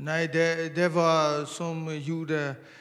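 A man talks at a very slow pace. Room echo is audible. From Burma. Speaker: church member. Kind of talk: testimony. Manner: halting.

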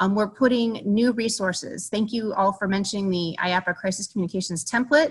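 Somewhat breathy, a woman's medium-pitched voice moves at a fairly quick pace. Her pitch varies in an ordinary way. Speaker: industry association representative. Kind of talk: webinar presentation.

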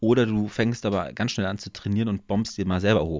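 A man talks at a fairly quick pace in a fairly low pitch with ordinary pitch variation. He has an unremarkable speaking voice. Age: 20s. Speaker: podcast co-host. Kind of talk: casual chat.

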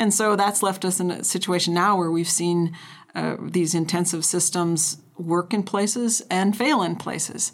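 A woman with an American accent has an unremarkable speaking voice at a fairly low pitch. She talks at a moderate pace with fairly even intonation. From North Dakota, US Upper Midwest. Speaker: rangeland scientist. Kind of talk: interview.

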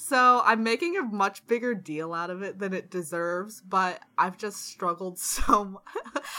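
A woman with an American accent speaks fairly slowly at medium pitch, with hardly any pauses and ordinary pitch variation. Her loudness swings widely, and noticeable background noise is present. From Washington DC, US. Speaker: podcast co-host. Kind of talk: casual chat.

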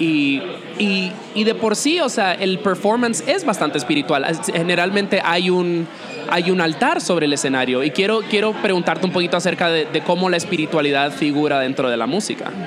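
A high-pitched man at a fairly quick pace, intonation lively, crowd noise in the background. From Dominican Republic. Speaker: podcast host and music journalist. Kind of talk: interview; show outro.

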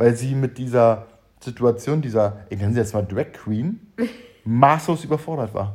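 A somewhat breathy man speaks at a moderate pace with lively intonation. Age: 30s. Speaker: podcast co-host. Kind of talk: casual chat.

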